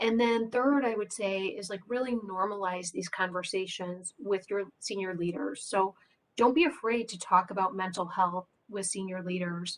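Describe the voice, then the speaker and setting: Using a plain, everyday voice, a woman speaks at a fairly slow pace with a medium pitch and ordinary pitch variation. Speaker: employer benefits panelist. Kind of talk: webinar panel discussion. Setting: webinar.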